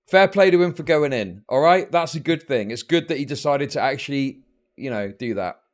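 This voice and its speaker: Recorded very cleanly over a silent background, a man with a British accent talks at a moderate pace with lively intonation. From Britain. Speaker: political streamer. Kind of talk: live stream commentary. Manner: animated.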